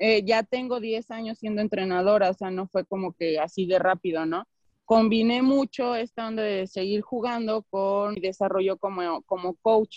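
A woman with a plain, everyday voice speaks at a medium pitch and a fairly slow pace, with fairly even intonation and hardly any pauses. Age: 30s. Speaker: basketball coach. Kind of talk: interview. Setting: video call.

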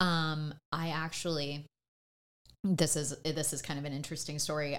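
The recording is very clean, with a silent background. A woman speaks with a very deep, low pitch and monotone, flat intonation. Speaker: podcast co-host. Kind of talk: casual chat.

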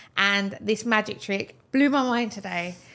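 Bright and sharp in tone, a woman speaks with lively intonation. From Britain. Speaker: podcast host. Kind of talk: casual interview. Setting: video podcast studio.

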